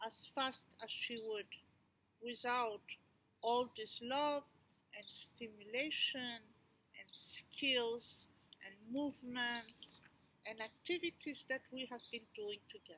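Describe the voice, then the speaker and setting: The voice is raised and projected, bright and sharp in tone. It moves at a very slow pace with ordinary pitch variation. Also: woman. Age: 60s. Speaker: educator and movement therapist. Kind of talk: personal pitch presentation.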